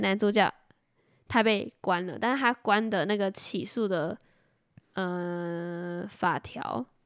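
In a Taiwanese accent, a woman speaks very slowly, her sound dry and close with no echo. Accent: Taiwanese Mandarin. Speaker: podcast co-host. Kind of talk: casual chat.

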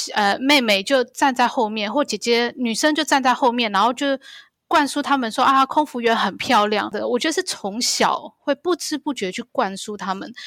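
A woman with a high pitch speaks at a moderate pace in a dry, close sound with no echo, on a very clean recording with a silent background. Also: ordinary pitch variation. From Taiwan. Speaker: pilot. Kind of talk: interview.

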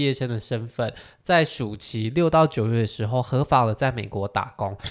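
In a very clean recording with a silent background, a man with an ordinary speaking voice talks at a moderate pace and ordinary pitch variation. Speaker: podcast host. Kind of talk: casual interview chat.

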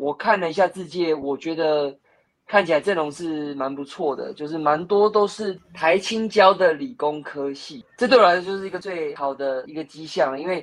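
Loudness swings widely as a high-pitched man speaks at a moderate pace with ordinary pitch variation. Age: 30s. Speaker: stock investor and blogger. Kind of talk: casual chat.

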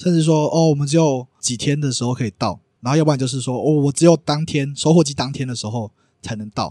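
Very fast and fairly high-pitched, a man with a dark, mellow tone is heard in a dry, close sound with no echo in a very clean recording with a silent background. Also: ordinary pitch variation. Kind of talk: casual interview chat.

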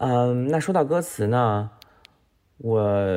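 A man with lively intonation. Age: middle-aged. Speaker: economist. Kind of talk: recorded voice submission.

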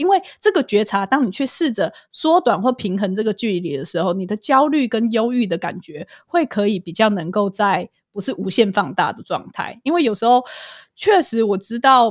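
Her fairly high voice swings very widely in pitch as this woman speaks. The recording is very clean, with a silent background and a dry, close sound with no echo. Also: moderate pace. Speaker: clinical psychologist and podcaster. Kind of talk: casual interview chat.

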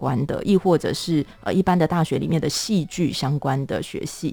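A woman at a very deep, low pitch with a dark, mellow tone, ordinary pitch variation and moderate pace. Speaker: theatre playwright and director. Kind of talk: casual interview.

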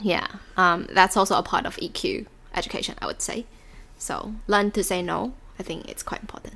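Whispering at a moderate pace, a woman speaks with big swings in loudness. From Taiwan. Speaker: podcast co-host. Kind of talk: casual chat.

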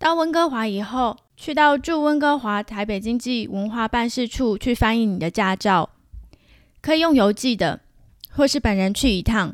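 Heard on a very clean recording with a silent background, a woman speaks in a Taiwanese accent with lively intonation. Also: fairly high pitch for a woman, moderate pace. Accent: Taiwanese Mandarin. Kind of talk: solo podcast monologue. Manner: casual, chatty.

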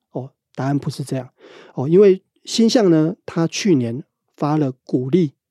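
Speaking at a fairly slow pace with long, frequent pauses, a man uses a fairly high pitch, a dark, mellow tone and lively intonation, in a dry, close sound with no echo. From Taiwan, Pingtung. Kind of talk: interview.

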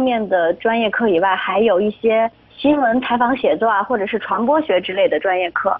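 A woman with a fairly high pitch talks at a moderate pace with lively intonation and hardly any pauses. Noticeable background noise sits behind her voice. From Shaanxi, northwest China. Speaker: broadcasting student. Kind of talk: interview.

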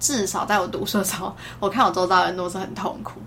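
Room echo can be heard around a woman as she talks. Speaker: pharmacist. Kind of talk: casual chat.

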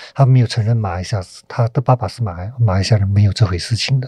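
A man's dark, mellow, somewhat breathy voice. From Malaysia. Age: 40s. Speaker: film director. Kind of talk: interview.

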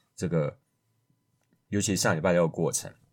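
A man with a very deep, low pitch talks at a moderate pace, the recording very clean and the background silent. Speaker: math podcast host. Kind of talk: solo podcast monologue. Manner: casual with frequent fillers.

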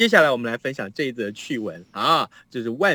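A man speaks in an animated tone with very wide pitch swings, recorded with a dry, close sound and no echo. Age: 50s. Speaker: radio news host. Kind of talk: casual chat. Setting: remote link from home.

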